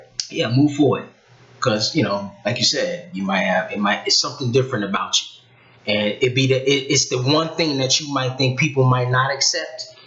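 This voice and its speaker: Medium-pitched male speech at a moderate pace, noticeable noise behind it. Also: ordinary pitch variation. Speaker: talk show guest. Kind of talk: casual chat. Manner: soft-spoken.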